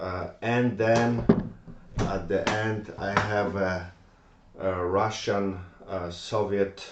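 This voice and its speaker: A man with a Polish accent, a very deep, low pitch and fairly even intonation, in audible room echo. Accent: Polish accent, non-native English. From Poland. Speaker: gun collector. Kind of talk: tutorial. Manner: halting, many fillers.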